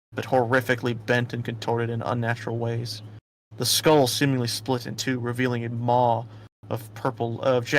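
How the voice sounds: The clip carries a natural reading voice against a quiet background.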